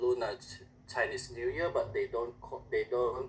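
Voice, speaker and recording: A man talks with an Indonesian accent. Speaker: language student. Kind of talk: class presentation. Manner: halting.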